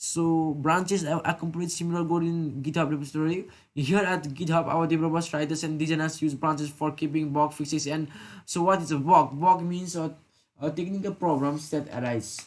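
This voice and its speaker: Fairly quick speech over a quiet background. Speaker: programming tutor. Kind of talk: tutorial. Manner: fast; halting.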